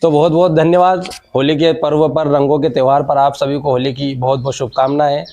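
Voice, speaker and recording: With an unremarkable speaking voice, a man talks at a moderate pace with hardly any pauses, using fairly even intonation at a fairly high pitch. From India, Malwa region, Madhya Pradesh. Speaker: local news reporter. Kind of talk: news report with interviews.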